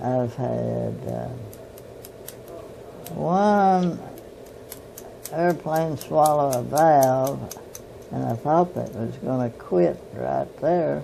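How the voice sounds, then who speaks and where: A woman with a Southern US accent at a very slow pace, with long, frequent pauses and noticeable background noise. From Tennessee. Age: 80s+. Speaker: pilot, flight instructor. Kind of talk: interview answer.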